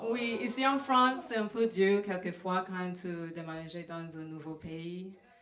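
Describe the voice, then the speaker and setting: With a slight Trinidadian accent, the speech moves at a very slow pace with ordinary pitch variation and audible room echo. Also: woman. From Trinidad and Tobago. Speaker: comedian. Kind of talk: stand-up. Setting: stage with audience. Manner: halting, many fillers.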